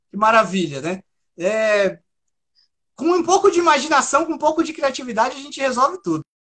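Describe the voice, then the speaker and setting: A man talks at a fairly quick pace with an extremely high pitch and very wide pitch swings. His speech has long, frequent pauses. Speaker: author. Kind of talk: interview.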